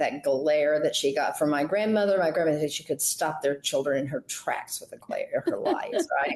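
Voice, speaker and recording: A woman is speaking with an American accent. Her pace is moderate. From Southern United States. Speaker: interview guest, voice coach. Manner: not powerful, soft.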